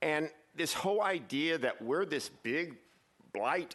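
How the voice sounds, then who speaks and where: A man's fairly high-pitched voice with vocal fry. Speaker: public commenter, short-term rental landlord. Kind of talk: public comment at city council meeting. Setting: council chamber. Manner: loud, projecting.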